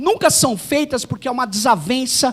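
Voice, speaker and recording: A man's speech comes through with noticeable background noise behind it. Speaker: university professor, conference speaker. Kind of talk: academic conference talk. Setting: auditorium with audience.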